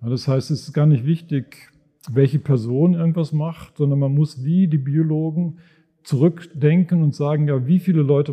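At a moderate pace, a man with fairly high pitch sounds somewhat breathy, with ordinary pitch variation. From Germany, Sauerland. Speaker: finance professor. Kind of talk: live podcast conversation on stage. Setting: stage with audience in a reverberant monastery room. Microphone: heavy room echo.

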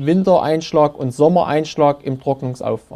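A dark, mellow tone comes through, and the pitch varies in an ordinary way. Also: man. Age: 40s. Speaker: forester. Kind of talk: interview.

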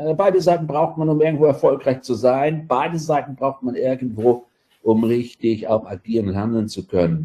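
A man's dark, mellow voice at medium pitch, moderate pace and lively intonation. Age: 50s. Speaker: adult education lecturer. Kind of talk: casual interview.

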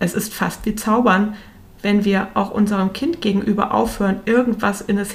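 With an ordinary speaking voice, a woman talks at a medium pitch and a moderate pace. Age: 40s. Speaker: parenting coach podcaster. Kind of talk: solo podcast monologue.

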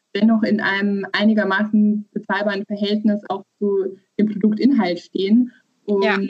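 The somewhat breathy voice holds a monotone, flat intonation at a moderate pace. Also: woman. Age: 30s. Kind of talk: interview.

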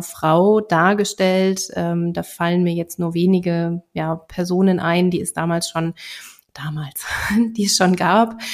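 An unremarkable speaking voice talks at a fairly slow pace with fairly even intonation. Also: woman. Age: 30s. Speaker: real estate investor. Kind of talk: interview.

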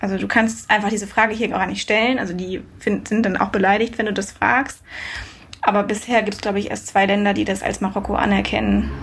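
A woman of medium pitch talks at a fairly quick pace in a monotone, flat intonation. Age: 20s. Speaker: long-distance cycle traveller. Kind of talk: casual interview.

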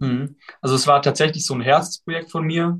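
Using fairly even intonation, a man speaks at a fairly high pitch and a moderate pace. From southwestern Germany (Baden-Württemberg). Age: 20s. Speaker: student and study-tips influencer. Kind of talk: casual interview.

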